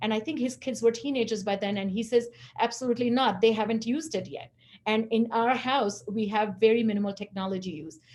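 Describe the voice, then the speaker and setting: Talking at a very fast pace, a woman with a fairly high pitch sounds somewhat breathy, with ordinary pitch variation. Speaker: webinar presenter on executive function. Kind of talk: webinar presentation. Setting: live webinar.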